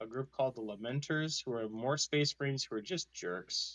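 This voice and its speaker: A man with a normal speaking voice talks fairly slowly at a fairly high pitch. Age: 20s. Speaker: podcast host. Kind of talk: casual chat. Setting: online voice call.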